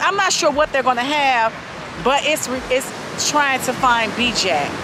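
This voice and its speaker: A high-pitched woman at a moderate pace, with ordinary pitch variation and noticeable background noise. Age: 40s. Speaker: vlogger. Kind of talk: casual vlog chat. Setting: outdoors by the lake.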